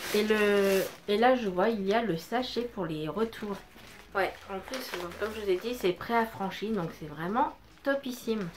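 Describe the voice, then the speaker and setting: A woman speaks at a fairly slow pace with a medium pitch and ordinary pitch variation. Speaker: beauty vlogger. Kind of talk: unboxing review. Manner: loud; hesitant, many fillers. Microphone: no microphone, camera audio.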